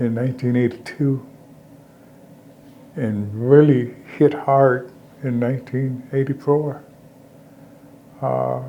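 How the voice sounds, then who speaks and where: Speaking very slowly, a man keeps a medium pitch and a monotone, flat intonation. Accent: American. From Alabama. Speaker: military veteran, former mayor, community activist. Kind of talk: oral history interview answer.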